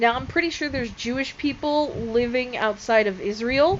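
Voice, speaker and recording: Lively in her intonation, a woman speaks at a fairly high pitch. Her pace is moderate, with noticeable background noise around her. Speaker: religion video creator. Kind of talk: casual explainer video. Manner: loud; hesitant, many fillers.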